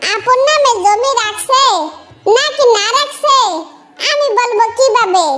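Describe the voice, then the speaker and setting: A woman does a squeaky, cartoonish character voice at an extremely high pitch with ordinary pitch variation, speaking very slowly, with audible echo. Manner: casual, offhand.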